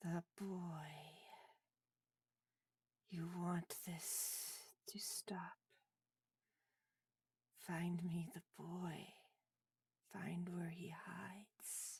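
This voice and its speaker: A woman whispers in a put-on character voice. Her pace is very slow, with long, frequent pauses. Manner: whispering.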